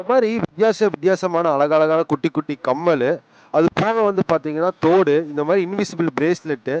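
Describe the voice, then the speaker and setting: A man's high-pitched voice, dry and close with no echo, with ordinary pitch variation and very even loudness. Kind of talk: street vlog narration about a local market vendor. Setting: outdoors at a street market.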